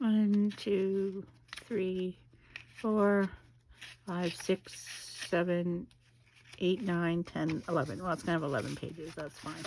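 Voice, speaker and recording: A soft-spoken woman at medium pitch talks at a very slow pace with ordinary pitch variation. Her pauses are long and frequent. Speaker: craft video maker. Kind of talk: casual craft tutorial.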